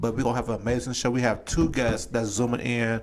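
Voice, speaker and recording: A man speaks at a medium pitch in a monotone, flat delivery, with audible room echo around him. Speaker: talk show host. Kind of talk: live talk show. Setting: video call.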